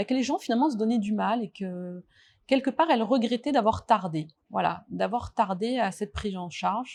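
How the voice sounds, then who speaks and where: A woman's somewhat breathy, fairly high voice, with lively intonation at a moderate pace. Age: 40s. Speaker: nurse. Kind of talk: testimony. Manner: hesitant, many fillers.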